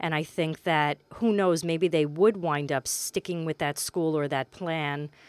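A woman with an American accent, very deep, low pitch and fairly even intonation, at a fairly slow pace with hardly any pauses, in a dry, close sound with no echo on a very clean recording with a silent background. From Queens, New York City. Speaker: high school guidance counselor. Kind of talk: interview. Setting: studio. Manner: halting; soft-spoken.

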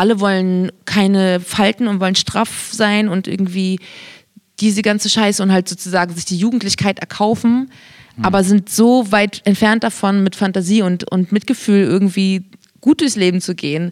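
A woman has a normal speaking voice at medium pitch. Her intonation is fairly even and her pace moderate. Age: 30s. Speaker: podcast co-host. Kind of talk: casual chat.

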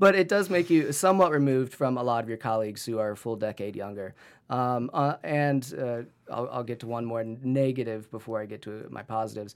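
On a very clean recording with a silent background, a man with an unremarkable speaking voice and an American accent talks at a fairly quick pace in a medium pitch, with lively intonation and big swings in loudness. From Northeast Ohio. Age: 30s. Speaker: medical student and photographer. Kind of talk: casual interview.

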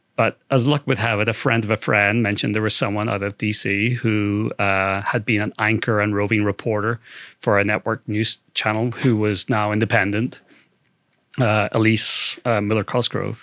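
A man with a fairly low, bright, sharp voice speaks in a flat monotone at a moderate pace, the sound dry and close with no echo. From UK. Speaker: data scientist and documentary film-maker. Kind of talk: interview.

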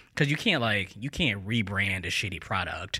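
Speaking with an American accent, a man has a bright, sharp tone, a fairly low pitch and ordinary pitch variation in a very clean recording with a silent background. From US Midwest, St. Louis, Missouri. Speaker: news editor. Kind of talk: casual interview. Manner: hesitant, many fillers.

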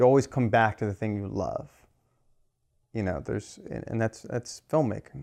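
A man talks with an American accent at a medium pitch. His tone is dark and mellow, and his pace is moderate. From US West Coast, Los Angeles. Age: 30s. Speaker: filmmaker. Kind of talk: interview.

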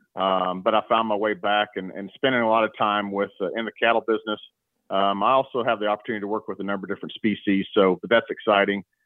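With an American accent, a man speaks very fast at a fairly low pitch. His intonation stays fairly even. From Oklahoma, Stillwater. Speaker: livestock industry product representative. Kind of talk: interview about cattle fly control.

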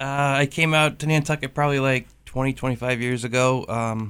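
The man speaking has a medium pitch. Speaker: fisherman and seafood seller. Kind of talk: casual radio interview. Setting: radio studio.

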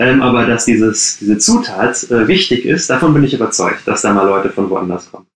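A man talks at a moderate pace with hardly any pauses. His medium-pitched voice has ordinary pitch variation. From Ruhr area, Germany (Gladbeck). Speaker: coworking space founder. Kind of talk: interview. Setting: video call from his bedroom at home. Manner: halting, many fillers.

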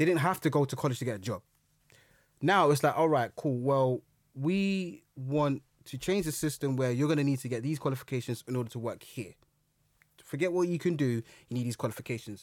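A man with a London accent speaks at a fairly high pitch and a fairly quick pace, with ordinary pitch variation and long, frequent pauses, in a very clean recording with a silent background. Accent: London, multicultural London English. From London, Brixton. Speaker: historian and public speaker. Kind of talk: casual chat.

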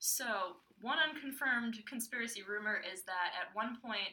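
A woman at a fairly high pitch, with ordinary pitch variation and a moderate pace, against noticeable background noise. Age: 20s. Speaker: podcast co-host, service year volunteer. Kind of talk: casual chat.

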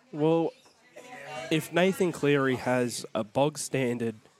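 Music plays in the background as a man with an Australian accent speaks with ordinary pitch variation. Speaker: rugby league podcast co-host. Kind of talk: casual chat.

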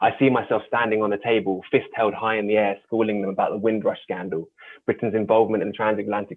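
Speaking very fast in a London accent, a man keeps a flat monotone at a fairly low pitch. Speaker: youth mentor and poet. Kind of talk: reading aloud. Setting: video call.

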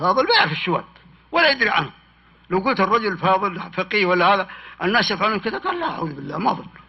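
Over noticeable background noise, a man talks very fast in a high pitch with lively intonation. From Hejaz, Saudi Arabia (desert near Khulais). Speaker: historian and author. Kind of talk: public talk with Q&A.

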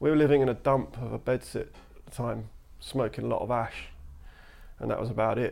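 A man talks at a fairly quick pace in a London accent. His speech has long, frequent pauses. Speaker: graffiti artist. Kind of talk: casual chat. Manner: matter-of-fact.

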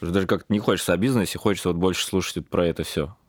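With a very deep, low pitch, a man talks in fairly even intonation. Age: young. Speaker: podcast host, doctor and entrepreneur. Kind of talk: podcast interview.

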